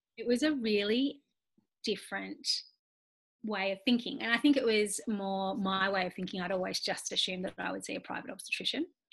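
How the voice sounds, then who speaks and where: In an Australian accent, a woman speaks at a fairly quick pace. Her pitch is medium, with ordinary pitch variation. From Australia, Nowra NSW. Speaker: occupational therapist and mother. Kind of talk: interview, personal birth story.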